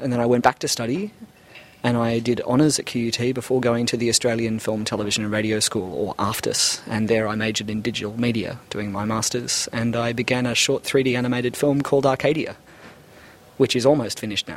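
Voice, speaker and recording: Against noticeable background noise, a man talks at a fairly quick pace and medium pitch with fairly even intonation. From Australia, Brisbane. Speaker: 3D animator. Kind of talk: interview.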